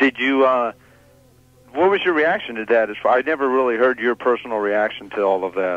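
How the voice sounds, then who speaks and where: Against music in the background, a man of medium pitch talks at a fairly quick pace. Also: lively intonation. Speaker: sports radio host / interviewer. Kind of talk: sports talk radio interview questions.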